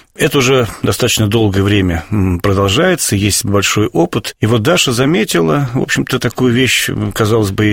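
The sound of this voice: With vocal fry and a slightly husky edge, a man talks at a fairly quick pace in a fairly low pitch with lively intonation.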